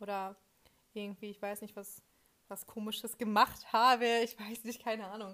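A woman speaks at a moderate pace with a fairly high, bright, sharp voice, her loudness swinging widely. Her intonation stays monotone and flat, broken by long, frequent pauses. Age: young. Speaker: communication studies student and podcast co-host. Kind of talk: casual chat.

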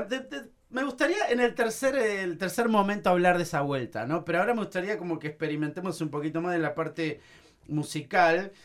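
A man with a high voice and lively intonation talks fairly quickly while noticeable background noise plays behind him. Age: 40s. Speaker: podcast host. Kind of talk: interview.

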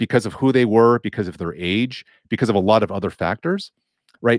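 The voice is an unremarkable speaking voice. The recording is very clean, with a silent background and a dry, close sound with no echo. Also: man. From Los Angeles, California. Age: 40s. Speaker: DJ, writer and sociology professor. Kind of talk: casual interview.

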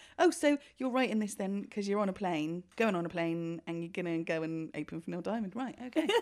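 Barely pausing, a woman speaks at a fairly quick pace and medium pitch. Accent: British. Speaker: podcast co-host. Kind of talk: casual chat.

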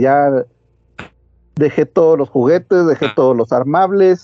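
A man with a fairly high pitch talks at a moderate pace in a normal speaking voice, using ordinary pitch variation. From central Mexico (Toluca, State of Mexico). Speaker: podcaster. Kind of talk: casual chat.

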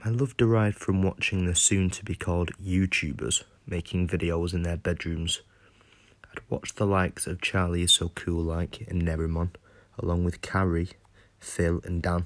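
A man's very deep, low voice with fairly even intonation and a British accent. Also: moderate pace. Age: 20s. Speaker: podcaster. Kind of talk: scripted monologue.

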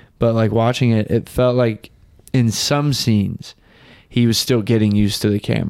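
A man with an ordinary speaking voice and a medium pitch talks at a moderate pace. His loudness stays very even and his intonation fairly even. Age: 20s. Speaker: podcast co-host. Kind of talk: casual chat.

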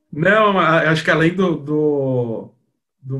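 Audible room echo surrounds a man whose pitch is fairly high. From Brazil, São Paulo. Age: 20s. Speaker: advertising professional. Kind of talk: casual chat.

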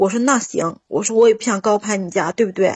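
A woman speaks at a fairly quick pace with a somewhat breathy voice. Her pitch sits fairly high. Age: 40s. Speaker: caller. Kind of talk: call-in advice chat. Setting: phone call. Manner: animated.

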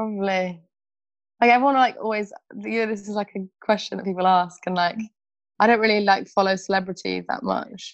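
Talking at a fairly quick pace with a Birmingham accent, a woman speaks at a medium pitch with fairly even intonation and long, frequent pauses. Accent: Birmingham English (Brummie). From England, Birmingham. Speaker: refugee aid volunteer. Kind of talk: interview.

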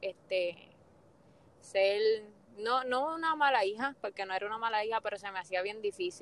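An ordinary speaking voice from a woman, fairly high in pitch, at a moderate pace with ordinary pitch variation and a dry, close sound with no echo. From Puerto Rico, Fajardo and Luquillo. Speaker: guest, mother of two. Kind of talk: casual interview.

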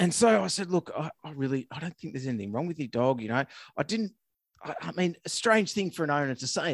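Speaking at a very fast pace with a fairly high pitch and very wide pitch swings, a man with an Australian accent is heard on a very clean recording with a silent background and a dry, close sound with no echo. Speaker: veterinarian, podcast co-host. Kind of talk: casual chat.

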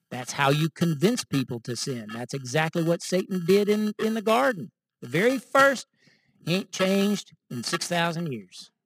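In a very clean recording with a silent background and a dry, close sound with no echo, a man speaks with an American accent. His pitch is high, swings very widely, and his pace is moderate. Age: 50s. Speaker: messianic congregation teacher. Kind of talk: sermon.

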